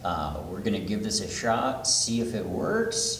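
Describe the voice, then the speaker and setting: A soft-spoken man with a medium pitch talks at a fairly slow pace with ordinary pitch variation. Audible room echo and noticeable background noise are present. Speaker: Buddhist minister. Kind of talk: sermon.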